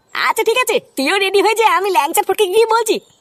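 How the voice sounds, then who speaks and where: A cartoonish character voice at an extremely high pitch, delivered at a fairly quick pace. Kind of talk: rustic comic cartoon dubbing. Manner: crude, foul-mouthed, eager.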